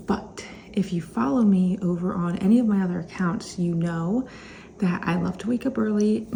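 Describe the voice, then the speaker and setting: Over noticeable background noise, a woman talks at a moderate pace with fairly low pitch and ordinary pitch variation. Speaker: reseller vlogger. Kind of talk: casual vlog. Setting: home kitchen.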